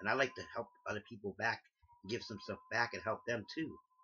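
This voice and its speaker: A man is speaking. He moves at a fairly quick pace. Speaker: crossdresser vlogger. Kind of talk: casual vlog monologue. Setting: bedroom. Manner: attempting a feminine voice; halting, repeats words.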